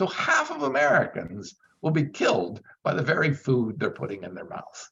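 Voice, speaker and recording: A man talks at a moderate pace. His loudness swings widely. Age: 60s. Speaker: vegan bodybuilder and supplement company owner. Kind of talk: interview. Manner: animated.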